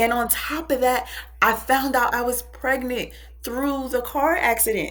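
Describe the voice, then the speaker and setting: A woman talks while music plays in the background. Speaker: public speaker and spiritual advisor. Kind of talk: podcast interview.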